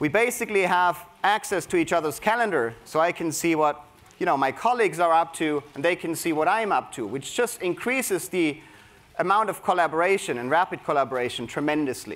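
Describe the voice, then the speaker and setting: Here a man talks in a high pitch with lively intonation. His pace is fairly quick. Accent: German. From Germany. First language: German. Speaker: creativity coach at a tech company. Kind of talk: conference talk. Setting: stage with audience. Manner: energetic.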